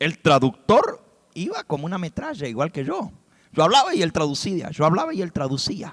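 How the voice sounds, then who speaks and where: With ordinary pitch variation, a man talks at a moderate pace in a high voice. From US (raised there, Spanish-speaking family). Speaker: preacher. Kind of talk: sermon.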